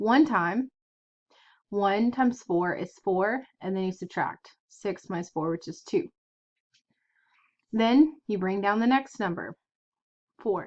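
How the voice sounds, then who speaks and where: Over a quiet background, a woman with a medium-pitched voice and lively intonation speaks at a very slow pace with long, frequent pauses. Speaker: math teacher. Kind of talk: lecture.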